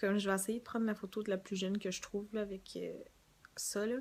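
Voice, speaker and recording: A woman's medium-pitched voice in a Quebec accent, with monotone, flat intonation. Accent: Québécois French. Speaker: beauty vlogger. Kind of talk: casual vlog.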